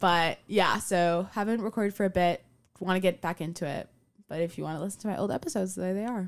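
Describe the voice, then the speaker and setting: A woman at a very fast pace, medium in pitch, with fairly even intonation on a very clean recording against a silent background. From Miami, US. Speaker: university student. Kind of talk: casual interview chat.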